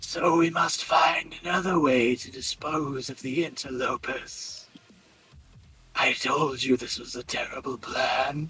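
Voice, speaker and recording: A man uses a put-on character voice, pitched fairly high and delivered at a fairly slow pace. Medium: actual play.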